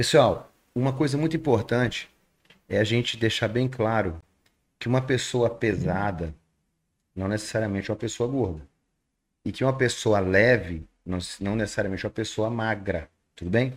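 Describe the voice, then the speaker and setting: A man speaks at a moderate pace and medium pitch with ordinary pitch variation, leaving long, frequent pauses. The recording is very clean, with a silent background. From Rondônia, Brazil. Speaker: nutritionist and podcast host. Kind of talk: podcast interview. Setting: studio.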